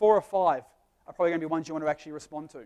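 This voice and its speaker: A man speaks in a high pitch. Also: dry, close sound with no echo. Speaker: business speaker. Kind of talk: live presentation. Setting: stage with audience. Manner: fast.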